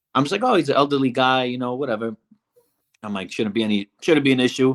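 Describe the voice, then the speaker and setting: A man with a slight Brooklyn accent at a very fast pace, medium pitch, ordinary pitch variation and a dry, close sound with no echo. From Brooklyn, New York. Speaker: reality show contestant. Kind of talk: interview.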